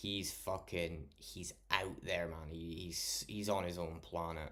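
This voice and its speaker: Speaking at a very slow pace, a man with a very deep, low pitch and a bright, sharp tone is heard with audible room echo. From Scotland. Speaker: live streamer. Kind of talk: casual chat. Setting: live stream. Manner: animated.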